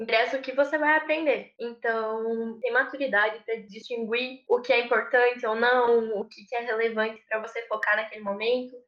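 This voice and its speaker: In a normal speaking voice, a woman at fairly high pitch talks at a moderate pace with hardly any pauses and big swings in loudness. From southern Brazil, Rio Grande do Sul. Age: 20s. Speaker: engineering intern and student. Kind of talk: interview.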